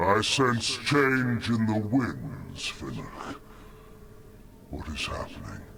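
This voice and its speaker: A man in a put-on character voice speaks very slowly at medium pitch, with long, frequent pauses and clear background noise. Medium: video game. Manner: solemn, grave.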